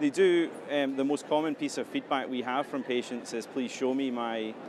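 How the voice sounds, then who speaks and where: Someone speaks at a moderate pace with a Scottish accent and fairly even intonation. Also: man, medium pitch for a man. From Scotland. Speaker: health tech company CEO. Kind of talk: interview.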